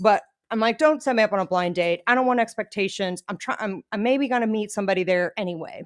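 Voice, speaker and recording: Very fast speech from a woman with a fairly high pitch and ordinary pitch variation, in a dry, close sound with no echo and a quiet background. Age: 40s. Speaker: podcast co-host. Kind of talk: casual chat. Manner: laughs often.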